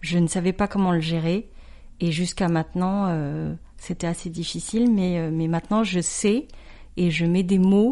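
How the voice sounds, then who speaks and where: A woman speaks fairly slowly in a medium pitch with a dark, mellow tone. Her intonation is fairly even, and the background is quiet. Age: 40s. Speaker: entrepreneur. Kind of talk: testimony.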